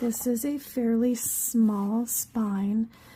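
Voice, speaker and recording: A woman's high-pitched voice at a very slow pace, over noticeable background noise. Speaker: craft youtuber. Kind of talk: craft tutorial. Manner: hesitant, many fillers.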